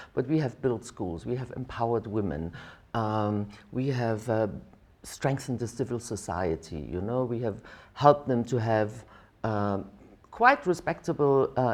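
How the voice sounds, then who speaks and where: At a moderate pace, a woman with a very deep, low pitch speaks with lively intonation. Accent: German. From East Germany. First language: German. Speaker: diplomat, ambassador. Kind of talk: interview answer.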